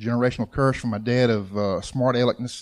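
A man talks with a Southern US accent. His voice is at a medium pitch. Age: 50s. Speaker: churchgoer, father of eight. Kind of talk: testimony. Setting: church.

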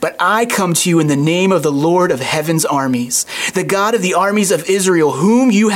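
Reading in an unforced voice

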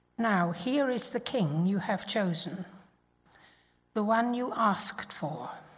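A woman's somewhat breathy voice at a very slow pace, with lively intonation and long, frequent pauses. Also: medium pitch for a woman. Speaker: Bible reader. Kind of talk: reading aloud. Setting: church.

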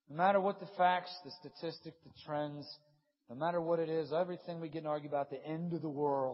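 A man speaks at a fairly high pitch, somewhat breathy. His pitch varies in an ordinary way. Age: 30s. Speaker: pastor. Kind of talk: sermon. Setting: stage with audience. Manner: animated.

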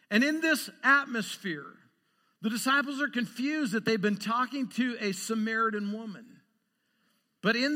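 A man talks with an American accent in a high, raised, projected voice. His tone is bright and sharp. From Idaho, US Northwest. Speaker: pastor. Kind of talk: sermon. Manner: animated.

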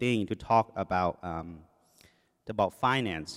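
A man speaks with a Thai accent. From Thailand. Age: 40s. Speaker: lay preacher, engineer. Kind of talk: sermon. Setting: church. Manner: speeds up when nervous.

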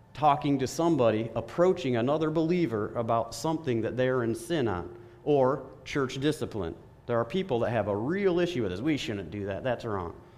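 The man's intonation is lively. Room echo can be heard around him. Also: medium pitch for a man, fairly quick pace. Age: 30s. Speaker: lay preacher. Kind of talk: sermon. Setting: church. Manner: animated.

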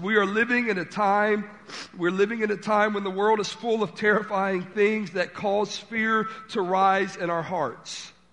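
This man's voice is high in pitch. He speaks at a fairly slow pace. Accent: Southern US. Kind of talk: sermon. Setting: church. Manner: stutters, halting.

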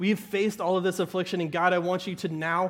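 A man speaks with an American accent and fairly even intonation. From US South, southern Arkansas. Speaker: pastor. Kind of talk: sermon. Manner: conversational, with frequent laughs.

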